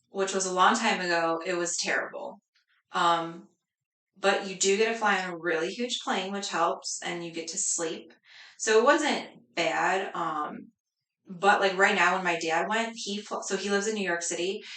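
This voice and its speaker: A woman speaks with an American accent in a bright, sharp tone. Her intonation stays fairly even, and the room echo is audible. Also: medium pitch for a woman, moderate pace. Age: 30s. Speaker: cleaning business owner. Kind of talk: casual interview.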